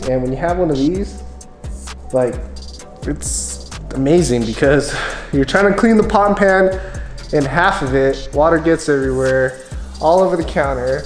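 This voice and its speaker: With faint music in the background and audible room echo, a man talks at a moderate pace with long, frequent pauses. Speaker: homeowner vlogger. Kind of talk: casual vlog chat. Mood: relaxed, enthusiastic. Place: home room. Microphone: phone near.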